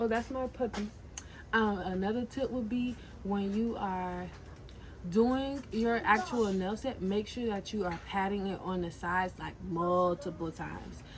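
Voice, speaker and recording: A somewhat breathy voice, its pitch varying in an ordinary way. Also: woman. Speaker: nail tech and entrepreneur vlogger. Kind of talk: casual vlog tutorial. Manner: animated.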